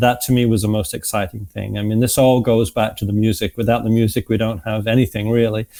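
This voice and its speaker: In a slight Manchester accent, the speaker rushes along at a very fast pace with hardly any pauses, using a dark, mellow tone and monotone, flat intonation. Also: man, medium pitch for a man. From northern England, Manchester. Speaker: music association executive and former musician. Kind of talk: interview. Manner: hesitant, many fillers.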